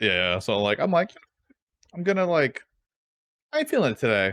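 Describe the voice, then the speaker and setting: Pitched fairly high, a man speaks at a fairly quick pace with vocal fry. His pitch swings very widely. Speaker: streamer podcast co-host. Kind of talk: casual chat. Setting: live stream. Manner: sounds annoyed even when not.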